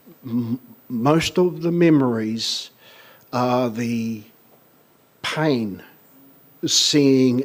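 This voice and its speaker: A man with a medium-pitched voice speaks at a very slow pace. His pitch varies in an ordinary way. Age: 60s. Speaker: tribunal claimant witness. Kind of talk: testimony. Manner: halting.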